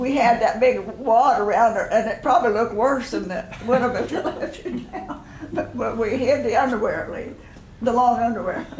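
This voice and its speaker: A woman speaks at a moderate pace with a high pitch, lively intonation and an American accent over noticeable background noise. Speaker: retired one-room school teacher. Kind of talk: oral history interview answer.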